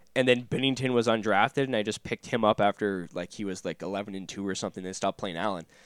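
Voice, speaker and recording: On a very clean recording with a silent background and a dry, close sound with no echo, a man with a fairly low pitch and ordinary pitch variation talks at a very fast pace with hardly any pauses. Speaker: hockey podcast co-host. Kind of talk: casual chat.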